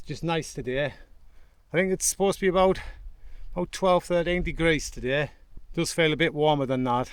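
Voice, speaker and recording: A man with a northern English accent talks at a fairly quick pace in a fairly high pitch, with ordinary pitch variation, on a very clean recording with a silent background. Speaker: hiker vlogger. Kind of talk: vlog narration while hiking. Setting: outdoors on a fell.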